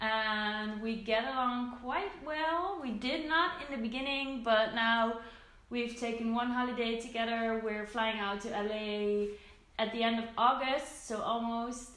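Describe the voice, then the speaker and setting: In a Dutch accent, a woman talks at a fairly slow pace and fairly high pitch with ordinary pitch variation, with audible room echo and noticeable background noise. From southern Netherlands. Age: 20s. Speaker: beauty vlogger. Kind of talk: casual Q&A vlog.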